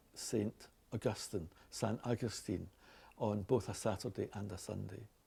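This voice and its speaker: A man with a Glaswegian accent, his fairly low voice dark and mellow in tone, carrying vocal fry and ordinary pitch variation at a fairly slow pace. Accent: Scottish, Glaswegian. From Glasgow, Scotland. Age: 60s. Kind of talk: casual unscripted talk.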